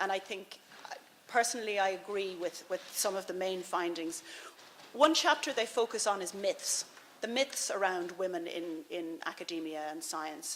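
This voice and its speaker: A woman with an Irish accent at a medium pitch and moderate pace, ordinary pitch variation, noticeable background noise. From Ireland. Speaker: policy advisor, former veterinary surgeon. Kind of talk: conference speech. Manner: halting, with fillers and repetitions.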